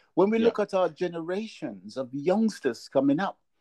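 A dark, mellow tone at a moderate pace, dry and close with no echo, over a quiet background. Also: man. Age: 60s. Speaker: interviewer. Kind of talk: interview. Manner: halting.

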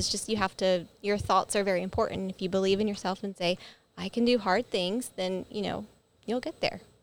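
An unremarkable speaking voice from a woman, medium in pitch with fairly even intonation, on a very clean recording with a silent background. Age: 30s. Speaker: head of operations at a gym. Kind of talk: casual chat. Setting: studio with video. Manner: laughs often.

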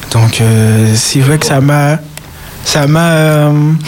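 A man's fairly high voice shows ordinary pitch variation, set against noticeable background noise. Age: 20s. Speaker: church guitarist. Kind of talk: radio interview. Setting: studio.

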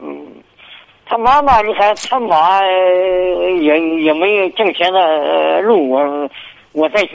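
Noticeable background noise sits behind a man speaking at a very slow pace. His voice is high-pitched with ordinary pitch variation. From Hebei, Xingtai. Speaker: radio call-in caller. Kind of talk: call-in advice conversation. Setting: phone call. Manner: halting. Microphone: too quiet on the line.

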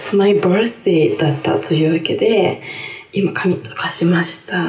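Over noticeable background noise and audible room echo, a woman speaks. Her tone is animated and her pace fairly slow. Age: 30s. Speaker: podcast host. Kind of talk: casual solo talk. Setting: bathroom changing room. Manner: animated, laughing often. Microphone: echoey room sound.

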